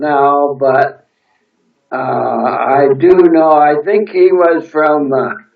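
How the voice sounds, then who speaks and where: A man at a very slow pace, fairly high in pitch, with ordinary pitch variation. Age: 90s. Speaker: war veteran. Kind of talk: oral history interview. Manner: halting.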